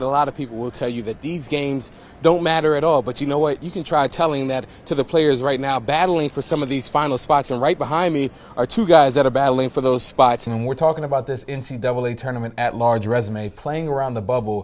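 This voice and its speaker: A man's upbeat, energetic voice at a very fast pace and medium pitch, with ordinary pitch variation and noticeable background noise. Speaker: TV sports anchor and reporter. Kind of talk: sports highlight anchor/reporter delivery. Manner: upbeat, energetic broadcast delivery.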